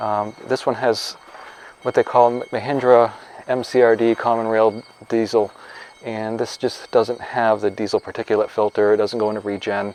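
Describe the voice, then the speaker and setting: With noticeable background noise behind him, a man speaks in a monotone, flat intonation. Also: medium pitch for a man. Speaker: farmer. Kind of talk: product review. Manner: fast.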